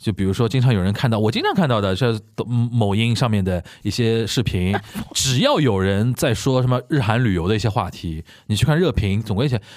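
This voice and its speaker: With a plain, everyday voice, a man speaks at a fairly quick pace, at medium pitch with ordinary pitch variation and very even loudness. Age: 30s. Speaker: podcast host. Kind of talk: casual chat.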